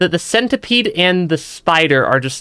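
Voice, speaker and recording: A man speaks with lively intonation and a bright, sharp tone. The recording is very clean, with a silent background. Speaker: VTuber game streamer. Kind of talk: let's play live stream commentary. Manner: halting, frequent self-repeats.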